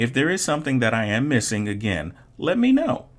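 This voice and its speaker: A man speaks at a moderate pace with vocal fry. The recording is very clean, with a silent background. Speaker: online art instructor. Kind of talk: course introduction.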